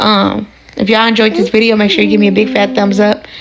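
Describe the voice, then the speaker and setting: A woman with a medium-pitched voice talks very fast over noticeable background noise. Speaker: vlogger, mother. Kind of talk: casual vlog.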